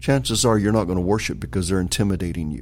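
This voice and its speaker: Speaking with an American accent, a man uses a very deep, low pitch. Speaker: bishop. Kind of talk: interview.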